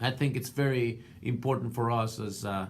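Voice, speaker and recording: With a non-native accent, a man speaks at a medium pitch and a moderate pace, with fairly even intonation and audible room echo. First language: not English. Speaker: art student and portrait painter. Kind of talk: class video response. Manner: halting, many fillers.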